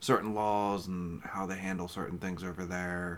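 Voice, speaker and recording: A man's very deep, low voice with fairly even intonation and audible room echo. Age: 30s. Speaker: podcast co-host. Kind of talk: casual chat.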